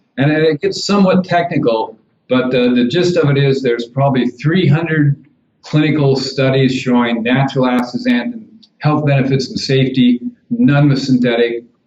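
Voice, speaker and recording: A man's plain, everyday voice, fairly high in pitch, with ordinary pitch variation, very even loudness and a moderate pace. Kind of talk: interview answer.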